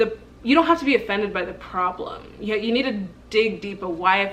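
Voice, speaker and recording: A woman's medium-pitched, passionate voice at a moderate pace, with noticeable background noise. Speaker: vlogger. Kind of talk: casual vlog monologue.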